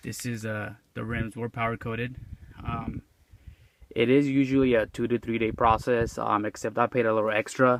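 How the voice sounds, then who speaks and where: In a Mexican accent, a man speaks at a moderate pace with monotone, flat intonation. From Mexico. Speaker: car owner video reviewer. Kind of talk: casual walkaround car review. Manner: casual, with frequent hesitations.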